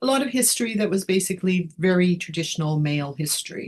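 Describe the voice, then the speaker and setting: At a fairly quick pace, a woman with a Canadian accent talks in a somewhat breathy voice at a medium pitch, with lively intonation. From Canada, northern Alberta. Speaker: history professor. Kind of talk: interview conversation. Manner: hesitant, many fillers.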